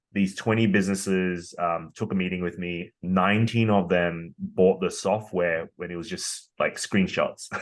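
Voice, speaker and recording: A man speaks with a very deep, low pitch and fairly even intonation. His pace is moderate, with hardly any pauses. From Australia. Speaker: tech company founder and CEO. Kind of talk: interview. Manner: hesitant with many fillers.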